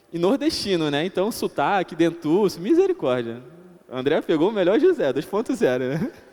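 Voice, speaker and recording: His pitch is high and swings very widely. This man keeps a moderate pace. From Brazilian Northeast (Paraíba). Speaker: lay preacher. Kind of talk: sermon.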